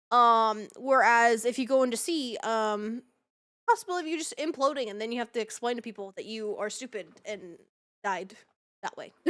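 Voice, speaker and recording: A woman talks at a moderate pace and a fairly high pitch, with ordinary pitch variation and big swings in loudness. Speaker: streamer interviewer. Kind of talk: casual chat.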